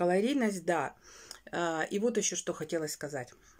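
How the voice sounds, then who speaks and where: With very wide swings in pitch, a woman talks in an animated tone. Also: quiet background. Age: 40s. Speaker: weight-loss vlogger. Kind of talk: casual vlog monologue. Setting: home bedroom. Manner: chatty, animated. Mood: earnest, slightly exasperated. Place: home room. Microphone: phone near.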